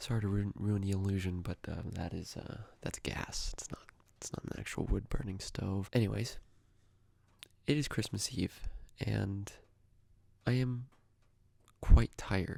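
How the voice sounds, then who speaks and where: Quiet whispering moves at a fairly slow pace, broken by long, frequent pauses. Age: young. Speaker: youtuber. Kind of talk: casual vlog monologue. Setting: at home by a gas fire at night. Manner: quiet, near whisper; halting, many fillers.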